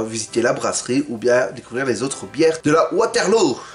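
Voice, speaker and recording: A man at a moderate pace with very wide pitch swings, music in the background. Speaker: beer-tasting youtuber. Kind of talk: casual vlog talk. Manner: mumbling at times.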